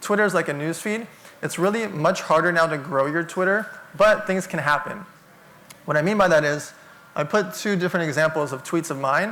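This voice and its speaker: A man with a high voice speaks fairly quickly with ordinary pitch variation. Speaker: entrepreneur and keynote speaker. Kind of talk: keynote talk. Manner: fast.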